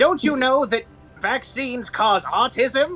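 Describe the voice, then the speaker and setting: A high-pitched, put-on character voice speaks at a fairly slow pace. Faint music plays in the background. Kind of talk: comedic. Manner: menacing, pompous.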